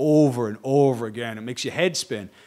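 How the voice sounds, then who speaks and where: With a Boston accent, a man talks at medium pitch with ordinary pitch variation. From Boston, US. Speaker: stonemason and TV researcher. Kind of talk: lecture. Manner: fast.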